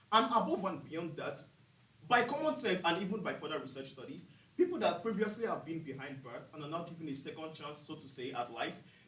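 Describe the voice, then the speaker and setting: Over noticeable background noise and audible room echo, the speech comes at a fairly quick pace with lively intonation and big swings in loudness. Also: man, high pitch for a man. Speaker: student business competition presenter. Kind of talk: case competition presentation. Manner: fast.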